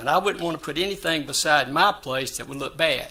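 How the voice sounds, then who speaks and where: A man with a South Carolina accent speaks at a fairly high pitch. His tone is bright and sharp. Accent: US Southern (South Carolina). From South Carolina, Florence. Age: 70s. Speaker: building owner / applicant. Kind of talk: public hearing testimony. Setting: city board meeting at podium.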